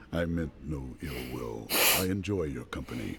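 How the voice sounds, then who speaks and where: Man's put-on character voice, very deep and low, at a moderate pace amid clear background noise. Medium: video game. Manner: terse, solemn.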